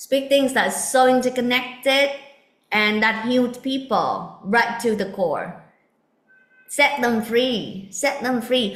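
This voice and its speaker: Loud and high, a woman's voice shows ordinary pitch variation. She speaks at a very slow pace. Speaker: spiritual teacher. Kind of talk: spiritual talk.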